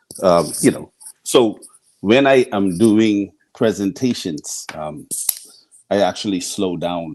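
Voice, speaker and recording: A man with a Bahamian accent speaks very slowly in a fairly low voice. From Bahamas, Nassau. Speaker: scientist. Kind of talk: radio interview.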